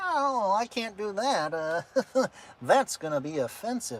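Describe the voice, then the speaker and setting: Put on as a character voice, the speech is fairly high in pitch and fairly slow, with very wide pitch swings. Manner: uptight, self-conscious.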